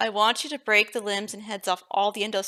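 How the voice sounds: Here is a natural reading voice. The delivery stays that way.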